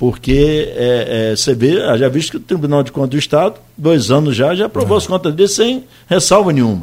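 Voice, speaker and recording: Talking at a fairly quick pace, a man with a fairly high pitch makes very wide pitch swings. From Brazil, Campos dos Goytacazes. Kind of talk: radio interview.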